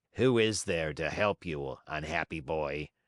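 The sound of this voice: A man's put-on character voice, raspy and very deep in pitch. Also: fairly slow pace.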